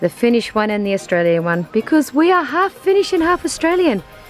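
A woman speaks at a moderate pace in a dry recording with no echo, faint music playing behind her. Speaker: mother vlogger. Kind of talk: casual vlog chat. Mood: warm, cheerful. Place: garden. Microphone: phone near.

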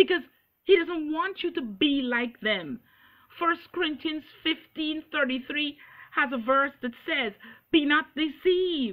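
A woman's high-pitched voice at a very slow pace over a quiet background. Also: ordinary pitch variation. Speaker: preacher. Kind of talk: sermon. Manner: earnest, preaching with urgent exhortation; quoting scripture verse by verse, emphatic. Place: home room. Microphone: webcam.

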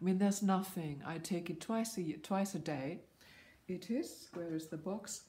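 Her tone is dark and mellow. The woman speaks fairly slowly with fairly even intonation. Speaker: vlogger. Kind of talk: vlog monologue. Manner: halting. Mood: earnest, informative. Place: home room. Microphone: phone near.

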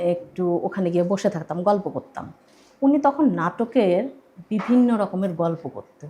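Her voice is somewhat breathy and dark, mellow in tone, set at a medium pitch, as the woman speaks with lively intonation and big swings in loudness. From Bangladesh, Gaibandha. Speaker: theatre actor. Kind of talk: radio interview, casual chat. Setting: radio studio.

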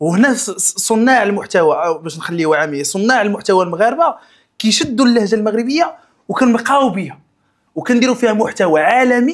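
A man with a Moroccan accent, talking at a fairly quick pace over a quiet background. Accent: Moroccan Darija. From Morocco. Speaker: content creator; podcast guest, content creator. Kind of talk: podcast interview; interview answer. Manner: halting, many restarts. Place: studio.

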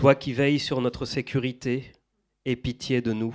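A man's monotone, flat delivery at a fairly slow pace on a very clean recording with a silent background. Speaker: event moderator. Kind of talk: moderated book talk. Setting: stage with audience. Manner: halting.

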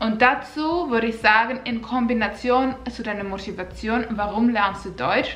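Here a woman speaks with a Finnish accent. Her pitch is fairly high and her pace moderate. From Finland. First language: Finnish (speaking German). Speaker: vlogger. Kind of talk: casual vlog tips; casual vlog chat. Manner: slightly halting. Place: home room.

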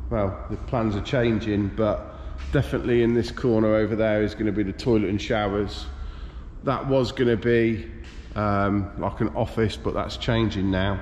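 A man talks at a fairly slow pace with light background noise behind him. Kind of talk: casual vlog chat. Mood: pleased, relaxed. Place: workshop. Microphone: phone near.

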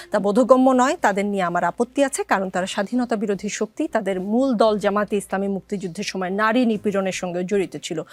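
In a dry, close recording with no echo, a woman speaks in a plain, everyday voice with ordinary pitch variation. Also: medium pitch for a woman. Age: 40s. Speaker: TV talk show host. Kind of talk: TV talk show interview.

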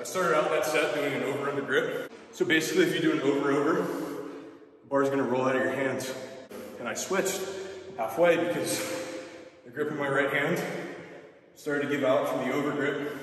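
Fairly even intonation at a fairly quick pace, in strong room echo. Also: man. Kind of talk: casual vlog chat, explaining technique. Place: gym. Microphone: camera far.

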